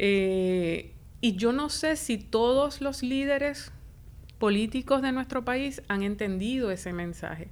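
A woman uses a normal speaking voice at medium pitch with ordinary pitch variation. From Puerto Rico, Isabela. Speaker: professor and director of a public administration school. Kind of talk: interview.

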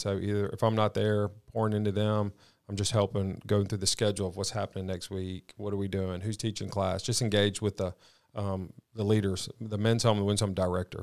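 A man with a Southern US accent speaks at a fairly quick pace in a fairly low, flat monotone. The recording is very clean, with a silent background. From Mississippi, Madison. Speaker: faith-based recovery ministry leader. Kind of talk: testimony.

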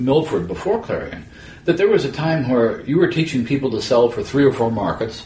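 A man speaks in a normal speaking voice at a fairly high pitch. His intonation is lively. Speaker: podcast host. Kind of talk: casual interview.

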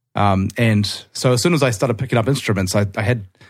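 With a New Zealand accent, a man speaks at a fairly low pitch on a very clean recording with a silent background. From Auckland, New Zealand. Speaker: guitarist and songwriter.

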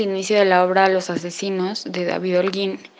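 Female speech amid noticeable background noise. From Mexico. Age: 20s. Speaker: theatre audience member. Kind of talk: recorded testimony. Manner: hesitant, many fillers.

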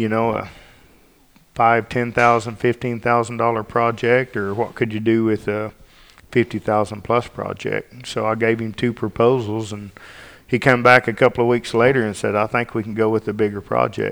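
A man speaks in a flat monotone at a medium pitch and a moderate pace. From Arkansas. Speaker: state bear and mountain lion biologist.

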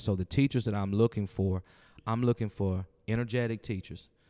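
A man with an American accent speaks in a dark, mellow tone at a fairly low pitch. The recording is very clean, with a silent background. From US Midwest, St. Louis, Missouri. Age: 40s. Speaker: school principal. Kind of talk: interview. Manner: halting.

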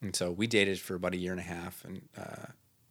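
Speaking in an Upper Midwest accent, a man uses a very deep, low pitch and monotone, flat intonation. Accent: Upper Midwest (Minnesota). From northern Minnesota, Iron Range; later Minneapolis-Saint Paul. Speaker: local missionary. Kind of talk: casual chat.

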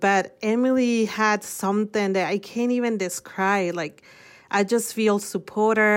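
A woman with a Mexican accent speaks at a medium pitch and a fairly slow pace, with fairly even intonation. The recording is very clean, with a silent background. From Mexico City. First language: Spanish. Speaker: nonprofit worker. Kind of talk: interview conversation.

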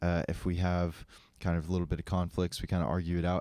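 On a very clean recording with a silent background, a man with an American accent and a dark, mellow tone speaks at a very fast pace in a very deep, low pitch. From Colorado. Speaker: skydiving coach and entrepreneur. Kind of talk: casual chat.

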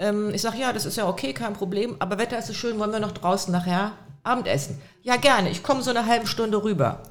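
The speech comes at a very fast pace. Noticeable background noise and audible room echo surround it. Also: woman, fairly high pitch for a woman, ordinary pitch variation. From Lower Saxony, Hildesheim. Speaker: criminal defense lawyer. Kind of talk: casual chat.

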